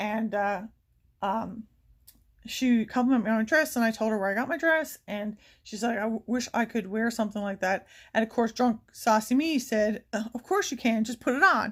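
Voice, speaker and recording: Somewhat breathy and fairly high in pitch, a woman speaks at a fairly quick pace. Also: very clean recording, silent background. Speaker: beauty vlogger. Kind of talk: casual chat. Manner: fast.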